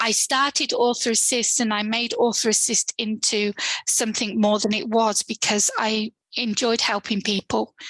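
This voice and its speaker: In a dry, close recording with no echo, a woman speaks in a monotone, flat intonation at very even loudness. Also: fairly high pitch for a woman, moderate pace. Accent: British. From UK. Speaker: author and author services provider. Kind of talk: interview.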